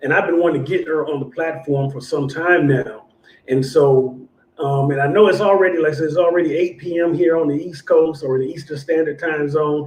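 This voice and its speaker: A man with a fairly high pitch and fairly even intonation, at a fairly quick pace. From born in Illinois, raised largely in Southern California. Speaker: bible study teacher and show host. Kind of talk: casual livestream chat introducing guest.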